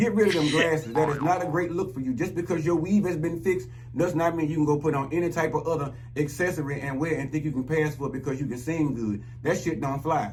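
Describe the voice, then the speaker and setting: With noticeable background noise and audible room echo, a man speaks very fast. His tone is animated and his pitch fairly high. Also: ordinary pitch variation. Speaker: YouTube commentator. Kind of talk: rant monologue.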